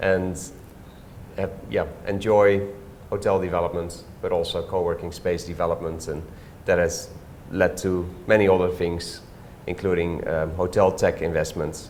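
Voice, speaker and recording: The speaker talks at a moderate pace with a Dutch accent, leaving long, frequent pauses. Audible room echo surrounds the voice. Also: man. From Netherlands, Staphorst. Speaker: hotelier and property developer. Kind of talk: interview. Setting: co-working office.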